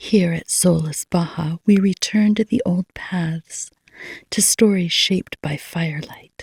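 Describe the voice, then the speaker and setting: A soft-spoken, somewhat breathy voice with fairly even intonation, dry and close with no echo. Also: woman. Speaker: novelist reading own book aloud. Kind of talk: reading aloud. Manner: slow.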